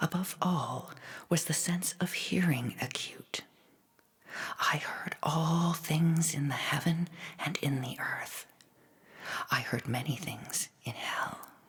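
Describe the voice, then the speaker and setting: A whispering voice comes at a very slow pace with long, frequent pauses over noticeable background noise. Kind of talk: ASMR read story. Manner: whispered.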